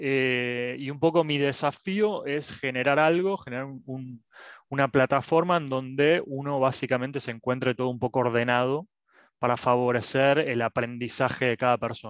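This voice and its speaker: Recorded dry with no echo against a quiet background, a man talks at a moderate pace with ordinary pitch variation. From Argentina. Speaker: student. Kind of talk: self-introduction. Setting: video call. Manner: halting. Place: home room. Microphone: headset.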